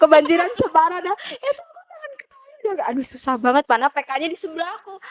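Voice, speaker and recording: A woman at an extremely high pitch, animated in tone, with very wide pitch swings and a fairly quick pace, in a dry, close sound with no echo. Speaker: university student, orientation participant. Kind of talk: casual chat.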